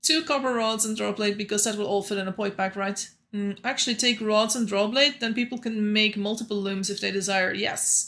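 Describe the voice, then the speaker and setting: At a fairly quick pace with hardly any pauses, a woman with a non-native accent speaks in a bright, sharp, fairly high tone with fairly even intonation, captured in a very clean recording with a silent background. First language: not English. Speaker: gaming streamer. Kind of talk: live gameplay commentary. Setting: livestream. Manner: casual, chatty.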